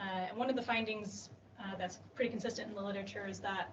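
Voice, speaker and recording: A woman with an American accent speaks at a fairly quick pace in a monotone, flat intonation. The recording carries audible room echo and noticeable background noise. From US Midwest, Illinois. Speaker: PhD researcher. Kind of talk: conference poster presentation. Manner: frequent fillers (um, uh).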